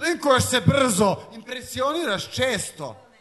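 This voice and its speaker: Raising and projecting his voice, a man speaks with very wide pitch swings. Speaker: slam poet. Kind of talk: live poetry slam performance.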